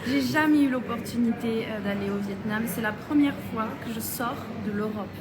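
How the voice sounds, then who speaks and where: Fairly high-pitched female voice with ordinary pitch variation, audible room echo and noticeable background noise. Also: moderate pace. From southern France. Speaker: beauty pageant contestant. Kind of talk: casual chat. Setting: Instagram live video.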